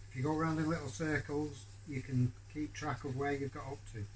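Light background noise under a man's voice, moderate in pace, with ordinary pitch variation. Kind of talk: tutorial. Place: workshop. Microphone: phone near.

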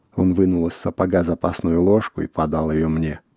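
A man's very deep, low voice carries a dark, mellow tone, with fairly even intonation at a moderate pace in a dry, close sound with no echo.

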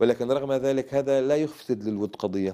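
A man speaks at a moderate pace in a dark, mellow tone. His pitch varies in an ordinary way, and the background is quiet. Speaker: Islamic movement leader and cleric; interview guest. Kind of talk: TV interview. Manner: formal. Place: studio.

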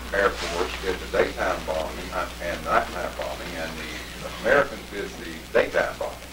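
Moderate-paced speech from a man, with background noise clearly noticeable. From Tennessee. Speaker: World War II veteran. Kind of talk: lecture to schoolchildren. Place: classroom. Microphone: camera far.

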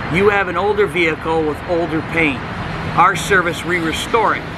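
Someone speaks at a moderate pace with an American accent. Loud background noise fills the recording. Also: man. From Cleveland, Ohio, US Midwest. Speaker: auto detailer. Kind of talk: tutorial. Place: street. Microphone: camera far.

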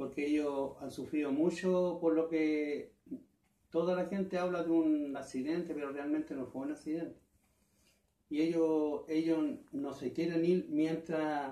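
There is audible room echo as a man speaks in a dark, mellow tone. His delivery is fairly slow, with monotone, flat intonation. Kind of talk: interview answer. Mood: earnest, troubled. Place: home room. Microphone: camera far.

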